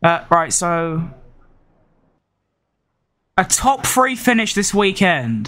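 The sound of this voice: A high-pitched man's voice with a bright, sharp tone, lively intonation and a slow pace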